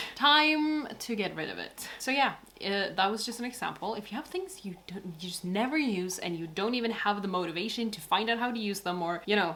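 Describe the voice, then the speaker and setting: With hardly any pauses, a woman talks at a fairly quick pace using lively intonation over noticeable background noise. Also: medium pitch for a woman. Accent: American. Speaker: vlogger. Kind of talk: casual vlog. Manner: casual, chatty.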